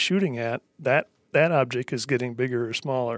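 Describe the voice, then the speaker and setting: At a fairly quick pace, the speaker has a normal speaking voice with ordinary pitch variation. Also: man, dry, close sound with no echo, very clean recording, silent background. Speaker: former hunting guide, optics educator. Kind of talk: casual technical discussion.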